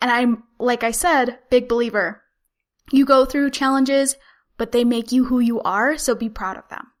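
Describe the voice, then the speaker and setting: On a very clean recording with a silent background, a woman with a Utah accent speaks in a high pitch with an energetic tone and big swings in loudness. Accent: General American (Utah). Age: 20s. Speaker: podcaster and Instagram marketing consultant. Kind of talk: podcast interview. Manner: fast.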